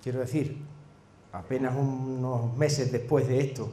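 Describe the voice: With strong room echo, a man speaks at a fairly slow pace in a dark, mellow tone and fairly even intonation. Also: medium pitch for a man.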